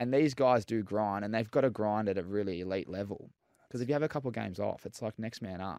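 A man with an Australian accent talks at a very fast pace, his fairly low voice dark and mellow in tone with ordinary pitch variation. The recording is very clean with a silent background. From Melbourne, Australia. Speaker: former footballer, entrepreneur. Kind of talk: casual chat. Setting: studio.

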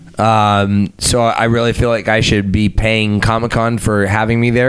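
Noticeable background noise sits behind this recording. A man with an American accent speaks at a medium pitch. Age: 30s. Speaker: actor and musician. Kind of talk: casual chat.

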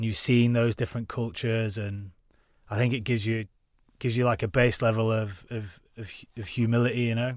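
On a very clean recording with a silent background, a man of medium pitch talks fairly quickly in a Lancashire accent with monotone, flat intonation. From northern England, Preston. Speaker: ex-soldier and mountaineer. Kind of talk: casual chat.

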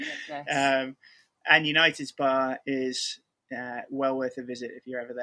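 A man with a northern English accent, recorded with a dry, close sound and no echo. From Manchester area, England. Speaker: football fan guest. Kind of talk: casual interview.

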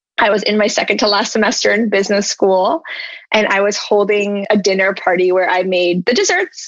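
Her voice is an unremarkable speaking voice, a woman at medium pitch with fairly even intonation, very even loudness and a fairly quick pace. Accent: American. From US South, Charlotte, North Carolina. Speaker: ice cream entrepreneur. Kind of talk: interview.

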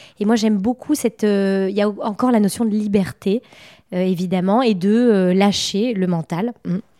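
A woman speaks at medium pitch and a moderate pace, her intonation fairly even and her loudness very even, in a dry, close sound with no echo. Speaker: feng shui expert and painter. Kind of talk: casual interview conversation. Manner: hesitant, many filler words.

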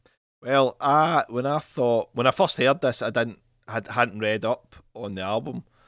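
A man with a Scottish accent speaks at a fairly slow pace, with big swings in loudness and ordinary pitch variation. The recording is very clean, with a silent background. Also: medium pitch for a man, dry, close sound with no echo. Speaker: podcast host. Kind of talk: casual chat.

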